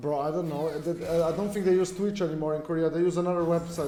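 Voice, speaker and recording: Very fast, flat, monotone speech from a man with a high pitch, with audible room echo and noticeable background noise. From Australia. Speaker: video game streamer. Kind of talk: live gameplay stream chat. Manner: casual, rambling with fillers.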